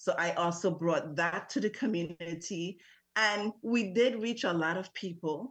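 Against a quiet background, a woman speaks at a medium pitch and a fairly slow pace with ordinary pitch variation. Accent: Virgin Islands. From US Virgin Islands, St. Thomas. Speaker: parent advocate. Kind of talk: radio interview.

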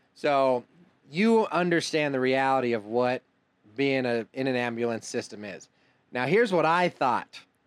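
A plain, everyday voice from a man at medium pitch, with lively intonation, a moderate pace, and a very clean recording with a silent background. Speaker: podcast host. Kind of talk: casual interview chat.

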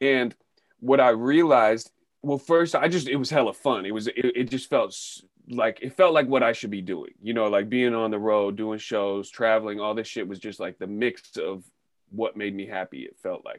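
Speaking at a medium pitch and moderate pace, a man with an American accent shows ordinary pitch variation and big swings in loudness. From northern California (Sebastopol, Bay Area). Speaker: rapper. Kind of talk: casual chat.

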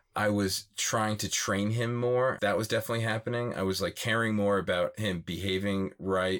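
With an American accent and a normal speaking voice, a man talks at a fairly low pitch and a moderate pace. His intonation is fairly even, and there are hardly any pauses. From Philadelphia area, US. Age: 30s. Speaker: van life dog owner.

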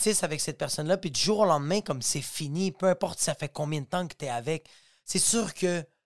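A man with a Quebec accent speaks in a high voice with ordinary pitch variation, and the sound is dry and close with no echo. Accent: Québécois French. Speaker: stand-up comedian and podcast host. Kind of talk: casual solo podcast monologue. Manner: animated, fast, with frequent repetitions and fillers.

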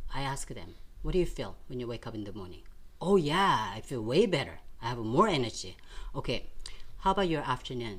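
A woman's very deep, low voice at a fairly quick pace, animated in tone, with very wide pitch swings, big swings in loudness, long, frequent pauses, and audible room echo. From South Korea, Seoul. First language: Korean. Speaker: nutrition and fitness coach. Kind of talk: interview.

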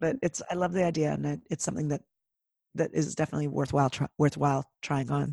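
A woman with a Canadian accent at a very fast pace, in a dry, close sound with no echo. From Canada. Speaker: podcaster and speaker. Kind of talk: interview conversation.

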